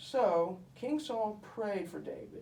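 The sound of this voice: With audible room echo, a man uses a high-pitched cartoonish character voice with vocal fry, big pitch swings and a slightly mellow tone at a slow pace.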